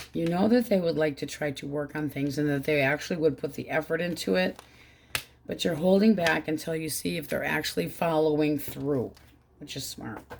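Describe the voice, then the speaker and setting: Someone speaks at a fairly quick pace with ordinary pitch variation against noticeable background noise. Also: woman, very deep, low pitch for a woman. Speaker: tarot reader. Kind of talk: tarot reading. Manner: casual, conversational.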